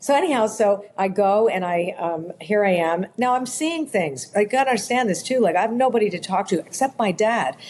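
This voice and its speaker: A woman with an ordinary speaking voice at a medium pitch, lively intonation and a fairly quick pace with hardly any pauses. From Canada, Toronto. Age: 60s. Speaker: author and spiritual intuitive. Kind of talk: podcast interview, personal storytelling.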